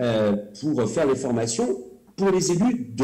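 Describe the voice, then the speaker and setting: With lively intonation, the man talks in a space that gives off audible room echo. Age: 50s. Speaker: cultural policy official and elected councillor. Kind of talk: presentation. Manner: hesitant, many filler sounds.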